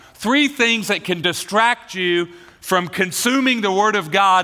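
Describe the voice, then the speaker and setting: Over noticeable background noise, a man with an American accent uses a raised, projected voice, speaking at a fairly slow pace with lively intonation. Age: 40s. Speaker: pastor. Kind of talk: sermon. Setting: church.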